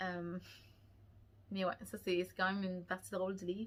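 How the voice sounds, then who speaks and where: A woman with a Quebec accent at a medium pitch. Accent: Québécois French. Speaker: book vlogger. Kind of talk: casual chat. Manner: halting.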